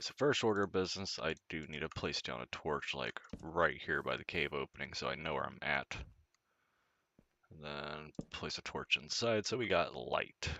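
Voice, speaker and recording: A man with a very deep, low pitch, vocal fry and a relaxed tone, at a moderate pace with lively intonation and big swings in loudness. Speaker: gaming video creator. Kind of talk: casual gameplay commentary. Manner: relaxed, conversational.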